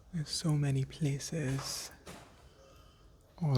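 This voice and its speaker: A soft-spoken man with a gentle tone, talking at a very slow pace. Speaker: existential coach. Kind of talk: gentle ASMR-style relaxation talk. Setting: outdoors in a quiet, breezy place. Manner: gentle, calming, soft.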